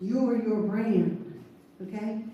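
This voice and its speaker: With a strong Southern US accent, a woman speaks amid noticeable background noise and audible room echo. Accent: deep Southern US. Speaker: seminar speaker. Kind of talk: motivational presentation. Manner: animated.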